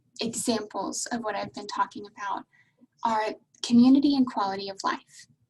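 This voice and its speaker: A woman speaks in a fairly high pitch with ordinary pitch variation. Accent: American. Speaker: university international admissions advisor. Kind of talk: webinar presentation. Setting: video call.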